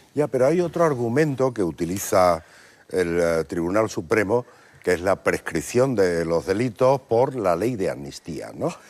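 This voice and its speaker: Fairly low in pitch, a man speaks at a fairly slow pace. His pitch swings very widely. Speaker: TV interviewer. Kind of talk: TV interview questions.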